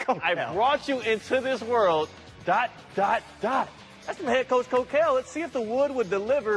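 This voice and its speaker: With music in the background, a man with an extremely high pitch speaks at a moderate pace in an energetic tone with lively intonation. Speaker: sports anchor / reporter. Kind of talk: TV sports news reporting, upbeat broadcast delivery. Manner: energetic, jokey.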